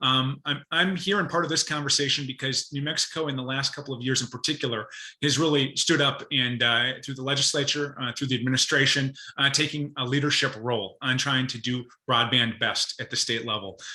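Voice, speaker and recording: A man with a Minnesotan accent speaks at a fairly quick pace in a medium pitch with a bright, sharp tone and fairly even intonation. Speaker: state broadband policy advisor. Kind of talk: presentation to professional group. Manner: fast talker; hesitant fillers.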